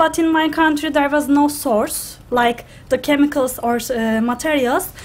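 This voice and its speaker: In a Turkish accent, a woman with a high voice speaks at a fairly slow pace with fairly even intonation. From Turkey. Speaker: graduate student, food engineer. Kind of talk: student presentation. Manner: halting.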